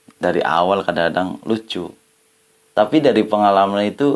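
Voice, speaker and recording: With a strong Ngapak Javanese accent, a man talks at a moderate pace in a fairly low pitch with ordinary pitch variation. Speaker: adventure YouTuber. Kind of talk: casual vlog talk to camera. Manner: casual, colloquial.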